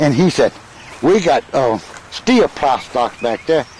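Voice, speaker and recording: Noticeable background noise accompanies the speaker. He is a man with an American accent. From US South, Newton County, Mississippi. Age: 80s+. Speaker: elderly father recounting family history. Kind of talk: casual chat. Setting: outdoors.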